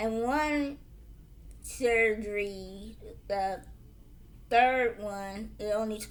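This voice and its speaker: Audible room echo follows a woman who speaks with an American accent. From Illinois, US. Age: 40s. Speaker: motivational vlogger. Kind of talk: personal testimony. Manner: halting, with fillers.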